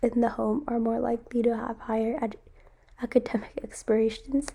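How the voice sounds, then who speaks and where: Vocal fry runs through a woman's dark, mellow tone, her fairly high pitch held in a flat, monotone delivery. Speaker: student. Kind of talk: class presentation.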